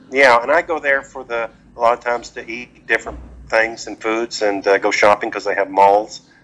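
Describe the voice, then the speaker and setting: A man speaks with a Texan accent at a fairly quick pace. His tone is bright and sharp. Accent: Texan American. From Texas, Dallas-Fort Worth. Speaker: retired expat. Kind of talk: casual interview.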